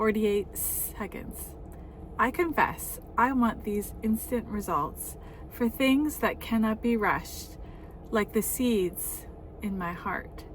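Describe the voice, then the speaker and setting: Noticeable noise runs behind the voice. The delivery is very slow. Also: woman. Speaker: author reading own memoir. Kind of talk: reading aloud; casual chat. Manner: halting.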